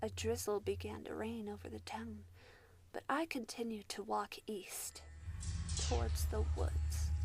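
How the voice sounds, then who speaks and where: A woman talks fairly slowly while music plays behind her. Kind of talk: horror story narration. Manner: eerie, spooky.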